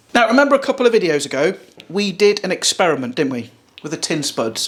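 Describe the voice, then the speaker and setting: A man with an English accent, high-pitched and animated in tone, at a very fast pace with very wide pitch swings, against noticeable background noise. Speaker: cooking youtuber. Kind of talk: casual cooking vlog.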